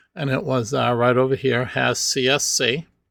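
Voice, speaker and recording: A man at a medium pitch, with a bright, sharp tone and a fairly slow pace. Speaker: statistics instructor. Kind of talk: tutorial.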